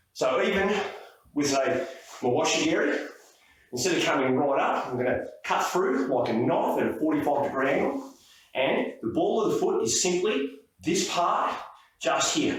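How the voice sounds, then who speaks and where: Against noticeable background noise, a man with a fairly high pitch talks at a moderate pace with lively intonation and very even loudness. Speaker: martial arts instructor. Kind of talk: technique tutorial to camera. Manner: casual, hesitant.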